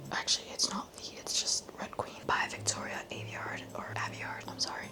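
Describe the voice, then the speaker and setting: A woman is whispering with hardly any pauses. Noticeable background noise sits behind her. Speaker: book vlogger. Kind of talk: casual chat. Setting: at home.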